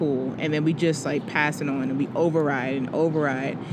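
Through audible room echo and noticeable background noise, a woman speaks at a fairly quick pace. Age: 20s. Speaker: podcast co-host. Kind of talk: casual chat.

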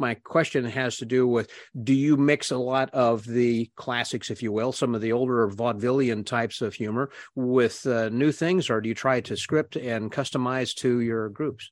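At a moderate pace, a man with an unremarkable speaking voice and medium pitch talks with fairly even intonation. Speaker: podcast host. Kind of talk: interview conversation. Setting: video call.

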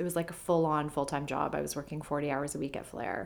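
A speaker with a Canadian accent talks with ordinary pitch variation. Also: woman. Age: 30s. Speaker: journalist and green beauty expert. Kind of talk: casual interview chat.

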